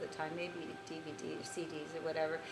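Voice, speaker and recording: At a moderate pace, a woman speaks amid noticeable background noise and audible room echo. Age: 60s. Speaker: spiritual teacher. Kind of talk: casual talk. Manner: halting.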